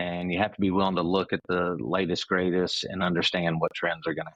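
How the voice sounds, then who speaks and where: In a Memphis accent, a man speaks at a very fast pace. His pitch is very deep and low. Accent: Southern US (Memphis). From US South, Memphis, Tennessee. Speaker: company CEO. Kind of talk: podcast interview. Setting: remote call. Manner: halting, many fillers.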